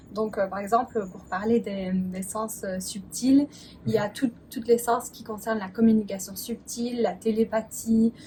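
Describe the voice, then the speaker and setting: Fairly high-pitched female speech with fairly even intonation over noticeable background noise. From Belgium. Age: 20s. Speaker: spiritual mentor. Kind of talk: interview answer.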